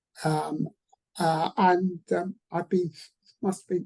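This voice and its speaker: At a fairly slow pace, a woman with a fairly low pitch and ordinary pitch variation speaks in a dark, mellow, somewhat breathy tone, the sound dry and close with no echo. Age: 60s. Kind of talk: panel webinar discussion. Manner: halting.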